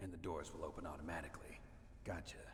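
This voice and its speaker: Whispering in a put-on character voice, a man rushes along at a very fast pace over clear background noise. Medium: video game. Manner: terse, blunt.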